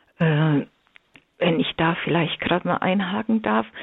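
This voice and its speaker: A woman talks here. Her pace is fairly slow. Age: 60s. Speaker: religion teacher and marriage communication trainer. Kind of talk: radio interview. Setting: remote line into radio studio.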